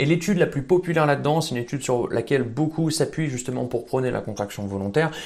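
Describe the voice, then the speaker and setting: With lively intonation, a man talks in a normal speaking voice. His pitch is fairly high. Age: 20s. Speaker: fitness coach YouTuber. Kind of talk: educational video monologue.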